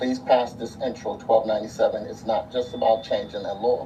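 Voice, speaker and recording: Over music in the background and audible room echo, a man speaks at a medium pitch with fairly even intonation. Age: 60s. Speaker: abuse survivor giving testimony. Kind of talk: testimony. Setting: city council hearing.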